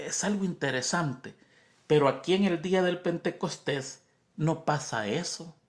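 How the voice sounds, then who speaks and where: Someone with a Spanish accent is heard in a very clean recording with a silent background. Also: man. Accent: Spanish-speaker's accent in English. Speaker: Bible study teacher. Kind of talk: Bible lesson review. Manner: conversational, repetitive emphasis.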